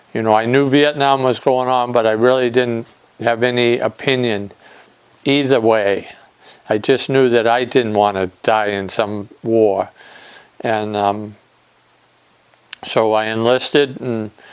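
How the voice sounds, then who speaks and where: A man with an American accent talks at a fairly slow pace, with fairly even intonation. There are long, frequent pauses, and noticeable background noise is present. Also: medium pitch for a man. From Nantucket, Massachusetts. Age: 60s. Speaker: war veteran. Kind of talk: interview testimony. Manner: halting, with fillers.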